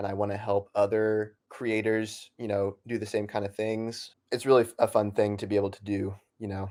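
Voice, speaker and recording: Speaking in an American accent at a moderate pace, the voice holds a monotone, flat intonation with big swings in loudness, in a very clean recording with a silent background. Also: man, fairly low pitch for a man. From Oklahoma, US (Norman). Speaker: comic creator and university student. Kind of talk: interview.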